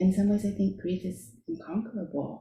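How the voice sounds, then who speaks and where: With an American accent, a woman speaks in a dark, mellow tone marked by vocal fry. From US, immigrated from Shanghai at four. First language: Chinese. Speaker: author. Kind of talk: book launch conversation.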